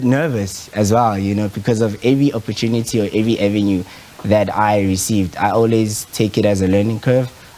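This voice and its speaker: Over noticeable background noise, a man with a Zulu accent speaks at fairly low pitch, with fairly even intonation and very even loudness. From South Africa. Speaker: photographer. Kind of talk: interview. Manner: hesitant, many fillers.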